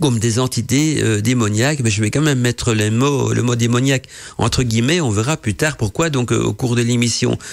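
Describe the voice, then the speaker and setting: Here a man speaks in a medium pitch. His pitch variation is ordinary. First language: not French (speaking French). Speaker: esoteric radio show host. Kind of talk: live radio talk on esoteric topic. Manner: hesitant, many fillers.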